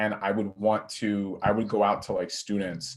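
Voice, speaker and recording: A man's fairly low voice at a moderate pace, on a very clean recording with a silent background. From US Northeast (Long Island, New York). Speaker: college student. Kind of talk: panel discussion. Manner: loud; energetic.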